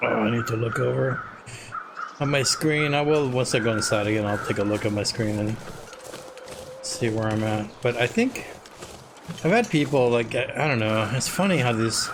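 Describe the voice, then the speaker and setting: Noticeable background noise sits behind a man with medium pitch and ordinary pitch variation, whose loudness stays very even. He talks at a moderate pace with long, frequent pauses. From Latin America. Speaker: video game streamer. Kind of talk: live gameplay commentary. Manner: casual, halting with restarts.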